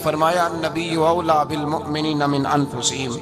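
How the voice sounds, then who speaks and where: A man is speaking. Music plays in the background. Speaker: Islamic preacher. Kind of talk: religious sermon. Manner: emphatic, oratorical.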